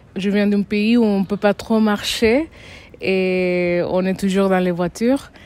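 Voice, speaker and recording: Spoken at a very slow pace with a non-native accent, the voice keeps fairly even intonation and very even loudness. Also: woman, medium pitch for a woman. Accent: foreign accent in French. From Dominican Republic. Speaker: resident interviewee. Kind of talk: casual interview. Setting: outdoors in a town square. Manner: hesitant, with fillers and restarts.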